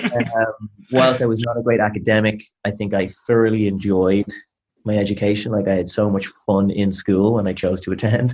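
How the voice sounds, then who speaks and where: A man's fairly low voice with a Dublin accent. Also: moderate pace. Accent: Irish (Dublin). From Ireland, Dublin. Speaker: sales executive. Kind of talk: interview. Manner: energetic.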